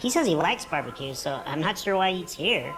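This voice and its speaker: A put-on character voice sounds female, pitched in the middle. It goes at a very fast pace over clear background noise. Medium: video game. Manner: eager, fast, gushing.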